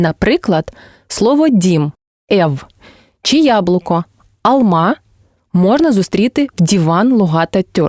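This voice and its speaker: In a Crimean accent, a woman at medium pitch speaks at a very slow pace with long, frequent pauses, very wide pitch swings and very even loudness, the sound dry and close with no echo on a very clean recording with a silent background. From Crimea, southern coast. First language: Crimean Tatar (speaking Ukrainian). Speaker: language teacher and translator. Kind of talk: scripted educational narration.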